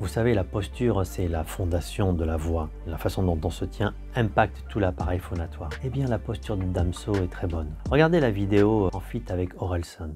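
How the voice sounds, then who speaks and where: Music plays behind a man with a very deep, low pitch and very wide pitch swings. He keeps a moderate pace with hardly any pauses. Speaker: voice coach. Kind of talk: educational talk to camera.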